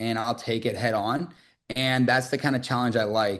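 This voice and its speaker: A man speaks with a bright, sharp tone at a medium pitch. The background is quiet. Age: 20s. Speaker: sales recruiter. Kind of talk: interview. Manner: fast; animated.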